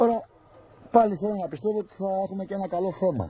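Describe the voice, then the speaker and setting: A man speaks at a moderate pace. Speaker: pigeon hobbyist video narrator. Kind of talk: live commentary. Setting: outdoors. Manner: animated.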